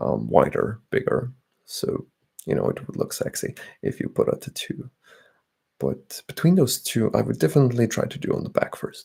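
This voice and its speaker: Whispering at a moderate pace, a man speaks. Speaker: ASMR streamer. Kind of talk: casual livestream chat with viewers. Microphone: slightly distorted audio.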